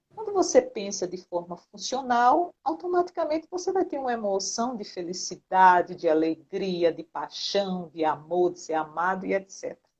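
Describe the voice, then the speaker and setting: A woman speaks at a moderate pace with a medium pitch and lively intonation, hardly pausing, her loudness swinging widely. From Brazil, Recife, Pernambuco. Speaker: psychologist. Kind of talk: interview.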